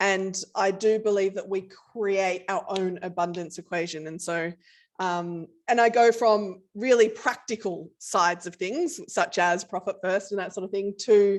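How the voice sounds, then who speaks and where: Speaking at a fairly slow pace, a woman with an Australian accent holds a medium pitch. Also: fairly even intonation, quiet background. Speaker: company CEO. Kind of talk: casual interview.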